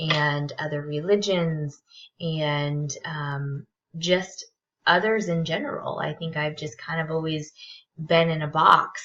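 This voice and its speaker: A woman's very deep, low voice with a bright, sharp tone, very slow pace and fairly even intonation. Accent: Californian. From Southern California. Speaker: graduate counseling student. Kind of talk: self-introduction video. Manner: halting, many fillers.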